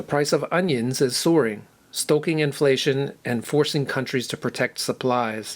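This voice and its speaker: With an American accent, a man uses a normal speaking voice, fairly high in pitch, with ordinary pitch variation at a moderate pace. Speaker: English teacher. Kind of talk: news reading for language learners.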